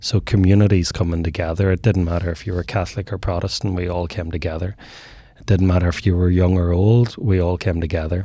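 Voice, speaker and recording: The voice is dark and mellow, somewhat breathy, with a Northern Irish accent. It runs very fast with fairly even intonation. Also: man, very deep, low pitch for a man. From Northern Ireland. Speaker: men's mental health advocate. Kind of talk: casual interview.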